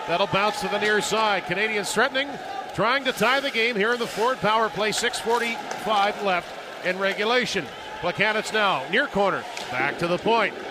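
A high-pitched man uses a raised, projected voice at very even loudness, with ordinary pitch variation. Noticeable background noise is present. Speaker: radio play-by-play announcer. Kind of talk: live sports commentary. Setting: radio broadcast from the arena. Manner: fast, rhythmic, animated play-by-play delivery.

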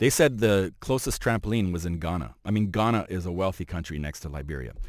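In a Montreal accent, a man speaks fairly quickly with a very deep, low pitch and lively intonation. The recording is very clean, with a silent background. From Montreal, Quebec. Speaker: fashion journalist and photographer. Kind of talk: casual chat.

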